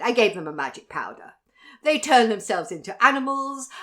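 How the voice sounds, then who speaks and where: In a put-on character voice, a woman cackles at a fairly quick pace, her fairly high pitch swinging very widely and her loudness jumping in big swings, on a very clean recording with a silent background. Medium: read story. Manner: cackling, boastful.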